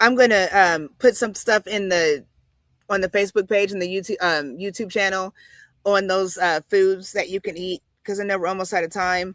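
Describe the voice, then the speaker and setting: A woman with a plain, everyday voice, medium pitch and fairly even intonation at a moderate pace, in a very clean recording with a silent background and a dry, close sound with no echo. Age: 40s. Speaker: wellness show host. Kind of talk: live stream chat.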